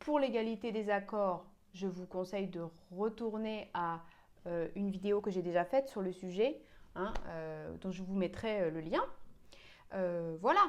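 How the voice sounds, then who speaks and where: At a fairly slow pace with long, frequent pauses, a woman speaks at a medium pitch with ordinary pitch variation. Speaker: piano teacher. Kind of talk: tutorial. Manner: hesitant, many fillers.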